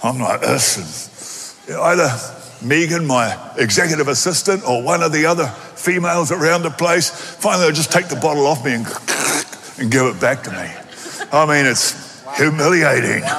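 At a moderate pace, a man with an Australian accent talks in an animated tone at a fairly high pitch with ordinary pitch variation, over noticeable background noise. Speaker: pastor. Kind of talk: sermon. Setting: church.

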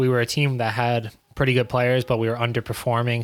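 Speaking at a fairly quick pace, a man with a New York accent has a medium pitch and monotone, flat intonation. The recording is very clean, with a silent background. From New York City (Queens). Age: 20s. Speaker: professional soccer player. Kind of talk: casual chat.

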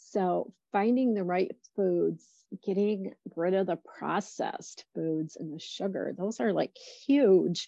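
A woman talks at a very slow pace with medium pitch and ordinary pitch variation. Her tone is dark and mellow, and the sound is dry and close with no echo. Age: 50s. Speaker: dietitian and health coach. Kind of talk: casual interview chat.

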